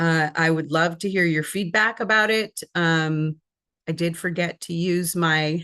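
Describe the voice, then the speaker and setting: A woman speaks at a fairly slow pace in a bright, sharp tone with a fairly low pitch. Her intonation is fairly even, and the background is quiet. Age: 60s. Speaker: spiritual counselor. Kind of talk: casual vlog talk to camera. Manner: halting, many fillers. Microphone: not using her new microphones.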